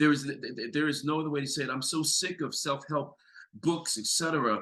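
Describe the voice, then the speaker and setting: A man's fairly quick, fairly high voice with a bright, sharp tone. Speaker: clinical psychologist. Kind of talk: podcast interview. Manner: animated.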